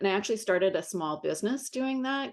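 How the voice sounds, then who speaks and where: Against a quiet background, a woman talks at a very fast pace. Her intonation is lively. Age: 60s. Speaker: art business advisor. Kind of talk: interview.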